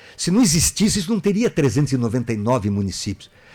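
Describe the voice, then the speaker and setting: This man's voice sits at a fairly high pitch and is somewhat breathy. Its pitch swings very widely. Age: 60s. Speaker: political candidate. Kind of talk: radio interview.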